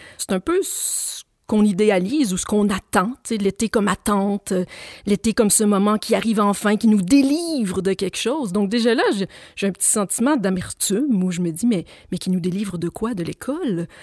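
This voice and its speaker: A woman at medium pitch with lively intonation and a moderate pace, the sound dry and close with no echo. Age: 40s. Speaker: writer and philosophy teacher. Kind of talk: radio interview. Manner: hesitant, repeats words.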